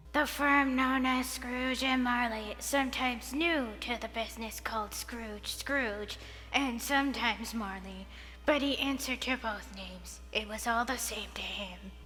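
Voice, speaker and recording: A put-on character voice over clear background noise. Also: woman, moderate pace. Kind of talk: Dickensian narration. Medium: read story. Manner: melancholy, flat.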